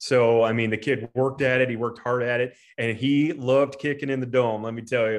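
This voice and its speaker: Against a quiet background, a man with an American accent speaks at a medium pitch. His pace is moderate and his intonation fairly even. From US Midwest, Preston, Iowa. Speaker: high school football coach and principal. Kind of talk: interview.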